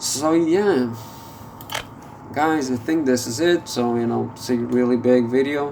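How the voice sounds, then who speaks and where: Fairly slow pace with noticeable background noise. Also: man. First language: not English. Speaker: gameplay video creator. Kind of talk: gameplay commentary. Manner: halting, many fillers.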